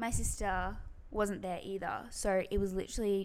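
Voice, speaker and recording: A woman with an Australian accent talks at a medium pitch in a monotone, flat intonation. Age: 20s. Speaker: podcast co-host. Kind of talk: casual chat.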